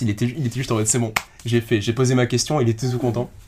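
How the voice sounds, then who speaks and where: A somewhat breathy man talks at a very fast pace in a monotone, flat delivery. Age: 20s. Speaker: guest sharing life experience. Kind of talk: casual chat.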